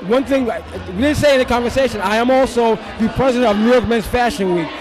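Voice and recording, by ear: A man with a high pitch speaks at a fairly quick pace over clear background noise and clear crowd noise in the background.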